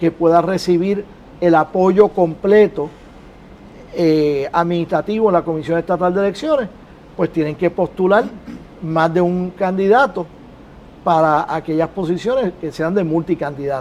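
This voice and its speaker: Pausing long and often, a man with a high pitch speaks fairly slowly with ordinary pitch variation. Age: 60s. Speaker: political panelist. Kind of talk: political debate panel.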